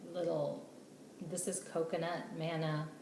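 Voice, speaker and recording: A woman speaks at a fairly low pitch. Audible room echo and noticeable background noise surround her voice. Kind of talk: casual video blog tutorial. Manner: hesitant, many fillers.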